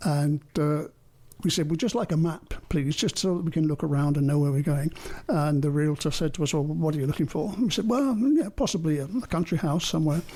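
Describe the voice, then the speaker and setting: Speaking with an English accent, a man has a fairly high pitch and a dark, mellow tone. He goes at a fairly quick pace with very even loudness and ordinary pitch variation. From England. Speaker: artist and retired finance consultant. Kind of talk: interview.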